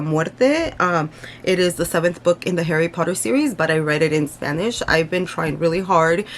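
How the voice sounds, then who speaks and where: A woman speaks in a fairly low voice with an American accent. Her pace is moderate and her pitch varies in an ordinary way. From United States, Mexican family. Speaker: booktuber. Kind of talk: casual book review vlog. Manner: hesitant, many fillers.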